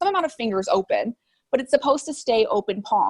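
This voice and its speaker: A woman's loud voice swings very widely in pitch, recorded dry and close with no echo. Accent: American. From US Midwest, Chicago suburbs. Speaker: artist and social media creator. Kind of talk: interview conversation.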